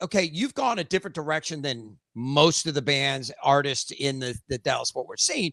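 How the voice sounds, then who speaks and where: The voice is loud, with a bright, sharp tone and hardly any pauses at a moderate pace. It sounds dry and close with no echo. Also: man. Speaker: podcast host. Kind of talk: casual interview chat.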